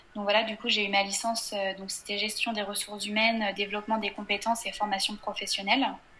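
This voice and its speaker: A woman speaks at a very fast pace with a fairly high pitch and monotone, flat intonation. Noticeable background noise runs beneath her. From western France, Angers. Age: 20s. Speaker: blogger. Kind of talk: casual interview. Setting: video call.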